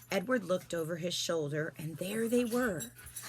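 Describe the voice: Lively intonation in plain reading aloud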